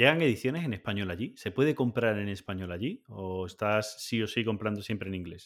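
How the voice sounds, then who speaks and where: At a fairly quick pace, a man with a Spanish accent speaks in a fairly low voice with ordinary pitch variation. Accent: Peninsular Spanish. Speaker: board game podcast host. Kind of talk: casual chat. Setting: video call.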